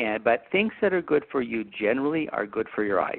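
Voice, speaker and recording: A man with an American accent and an unremarkable speaking voice, at a fairly quick pace with ordinary pitch variation. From Utah. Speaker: optometrist. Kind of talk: educational interview.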